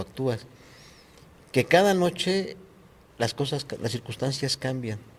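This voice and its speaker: Lively intonation and a fairly high pitch mark this man's fairly slow speech. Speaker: actor and puppeteer. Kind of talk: interview. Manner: soft-spoken.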